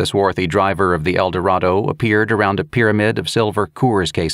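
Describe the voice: Fairly even intonation in plain reading aloud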